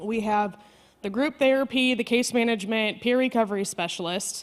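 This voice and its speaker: A fairly high-pitched woman with an American accent, a fairly quick pace and ordinary pitch variation. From Chicago, US Midwest. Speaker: maternal health program coordinator. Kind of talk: conference presentation. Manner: fast.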